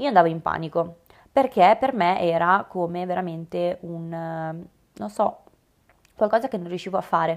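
The recording is very clean with a silent background. A woman talks at a fairly low pitch and moderate pace with ordinary pitch variation. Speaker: podcast host and obstacle racing athlete and coach. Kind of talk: solo podcast monologue. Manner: animated.

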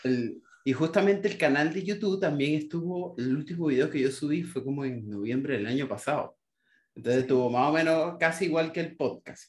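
Speaking in a plain, everyday voice, a man talks at a fairly quick pace with a fairly high pitch and ordinary pitch variation. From Venezuela, Maracaibo. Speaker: designer and YouTube creator. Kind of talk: casual chat.

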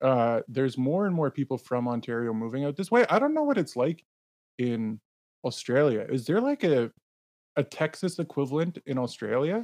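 Over a quiet background, a man with a Canadian accent and a plain, everyday voice speaks at a moderate pace. His fairly high pitch rises and falls with lively intonation, in a dry, close sound with no echo. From Canada. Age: 30s. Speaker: podcast host, Bitcoin advocate. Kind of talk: casual chat.

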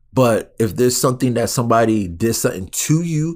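In a very clean recording with a silent background, a man with medium pitch speaks at a moderate pace in an ordinary speaking voice. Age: 30s. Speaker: podcast host and personal trainer. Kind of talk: solo monologue. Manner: casual, conversational.

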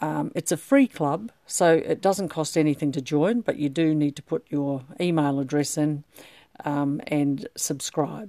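With an Australian accent, a woman speaks at a fairly slow pace and a very deep, low pitch, her tone warm, dark and mellow with ordinary pitch variation, on a very clean, dry, close recording with a silent background and no echo. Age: 60s. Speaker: podcast host, menopause club founder. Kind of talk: solo podcast monologue. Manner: warm, hesitant with many fillers.

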